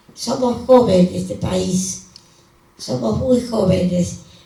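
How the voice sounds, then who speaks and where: Audible room echo and noticeable background noise surround a woman who talks at a very slow pace. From Argentina. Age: 90s. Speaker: elderly activist at a book presentation. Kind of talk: panel speech. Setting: book presentation with audience. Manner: halting.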